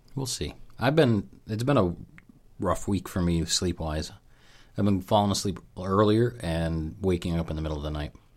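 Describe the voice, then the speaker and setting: Lively intonation and a moderate pace mark this speech in an American accent, captured on a very clean recording with a silent background. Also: man, very deep, low pitch for a man. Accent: Dunmore accent, regional US. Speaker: podcast host. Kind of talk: casual chat.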